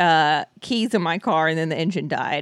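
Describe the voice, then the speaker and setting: A woman's fairly low voice in a very clean recording with a silent background. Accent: American. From Southern California. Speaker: podcast guest. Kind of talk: casual chat.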